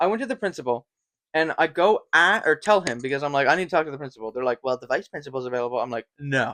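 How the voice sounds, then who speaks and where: Bright and sharp, a man's fairly high voice races along very fast in an animated tone with ordinary pitch variation, sounding dry and close with no echo. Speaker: podcast co-host. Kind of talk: casual chat.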